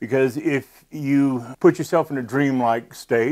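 The background is quiet. A man talks, his pitch varying in an ordinary way. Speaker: presenter. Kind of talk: tutorial. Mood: earnest, cautionary. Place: studio. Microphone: lapel.

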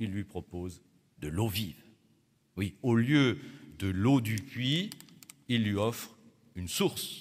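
A man is speaking. His pace is very slow. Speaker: Protestant pastor. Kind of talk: sermon. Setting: church. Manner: formal, didactic. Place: church. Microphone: podium.

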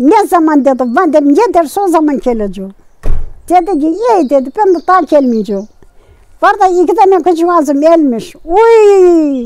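Extremely high in pitch, a woman's voice has a dark, mellow tone and very wide pitch swings at a moderate pace, dry with no echo. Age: 80s+. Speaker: village grandmother telling her life story. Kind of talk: interview answer, life story chat. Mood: sorrowful, telling of losses. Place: open country.

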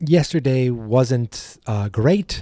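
Lively in intonation yet very slow in pace, a man is heard in a dry sound with no echo over a quiet background. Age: 40s. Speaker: podcast host. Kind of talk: casual monologue. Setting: home studio. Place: studio.

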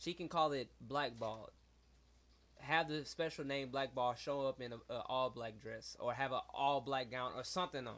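Using a plain, everyday voice, a man keeps a moderate pace and ordinary pitch variation. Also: medium pitch for a man. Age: 20s. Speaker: podcast co-host. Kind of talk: casual chat. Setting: studio.

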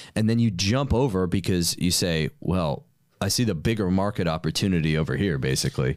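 A man with an American accent and a very deep, low voice talks at a fairly quick pace with lively intonation and very even loudness, in a dry sound with no echo against a quiet background. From New York. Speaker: podcast host and entrepreneur; podcast host. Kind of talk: casual chat. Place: studio. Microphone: studio mic.

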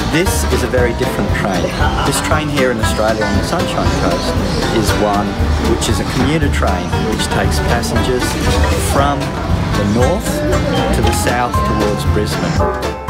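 Loud music plays in the background as a man speaks at a moderate pace, leaving long, frequent pauses. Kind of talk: casual vlog chat. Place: station. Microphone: phone near.

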